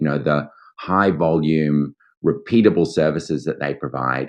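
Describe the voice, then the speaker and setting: In an Australian accent with vocal fry, the speaker talks at a fairly slow pace with ordinary pitch variation over a quiet background. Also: man. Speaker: legal tech founder and lawyer. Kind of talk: interview.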